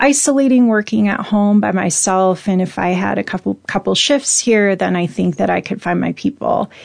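In a normal speaking voice with an American accent, a woman talks at a moderate pace and medium pitch against a quiet background. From US Pacific Northwest, Spokane, Washington. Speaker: entrepreneur and activist. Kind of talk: interview conversation.

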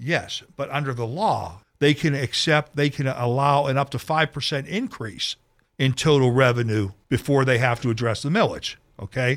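Very clean with a silent background, the recording features a man with an American accent at medium pitch and ordinary pitch variation. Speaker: radio talk show host. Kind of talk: radio interview. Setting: radio studio. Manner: fast.

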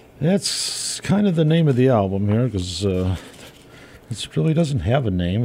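With lively intonation, a normal speaking voice keeps a moderate pace. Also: man. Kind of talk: radio dj patter, relaxed polka show banter with song intros and call-in plugs. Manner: easygoing, chatty and friendly, rambling a little as he gives out requests info.

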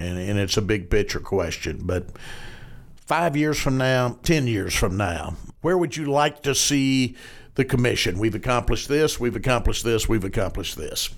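Here a man talks at a moderate pace in a Southern US accent. His medium pitch carries lively intonation. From Arkansas. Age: 60s. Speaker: podcast host, newspaper editor. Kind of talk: interview.

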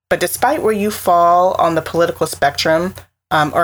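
Talking at a moderate pace, a woman with a fairly low pitch shows ordinary pitch variation. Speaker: podcast host. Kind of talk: casual interview. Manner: animated.

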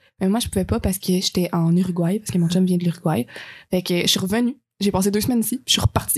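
A woman speaks very fast in a medium, somewhat breathy voice with ordinary pitch variation, the sound dry and close with no echo. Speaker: friend of the host, travel companion. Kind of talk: casual chat.

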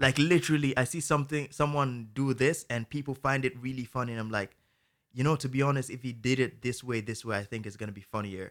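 Using an ordinary speaking voice, a man at medium pitch talks at a fairly quick pace with ordinary pitch variation on a very clean recording with a silent background. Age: 20s. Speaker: TikTok creator and musician.

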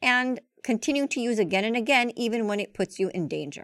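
A woman with an unremarkable speaking voice and lively intonation, in a dry, close sound with no echo on a very clean recording with a silent background. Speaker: podcast host and doctor. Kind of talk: interview.

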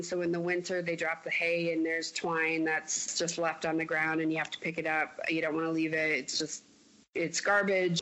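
A woman with a fairly low voice talks in an American accent. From Iowa, Mason City. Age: 40s. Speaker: airline employee. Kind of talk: interview.

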